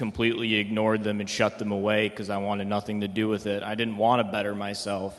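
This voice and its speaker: Against noticeable background noise, a man with an American accent talks at a moderate pace in a fairly low pitch. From Michigan (Detroit metro, east side). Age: 20s. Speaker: rehab program resident. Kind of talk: testimony. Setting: stage with audience.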